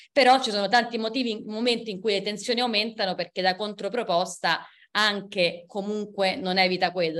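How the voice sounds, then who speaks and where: This woman has an ordinary speaking voice, pitched in the medium range with ordinary variation. She talks at a fairly quick pace. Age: 30s. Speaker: historian and book author. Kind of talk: book presentation talk.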